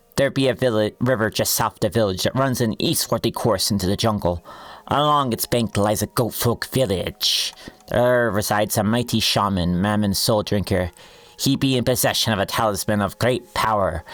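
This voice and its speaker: A man's gruff, drawling put-on character voice at a medium pitch and moderate pace. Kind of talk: archaic pirate speech.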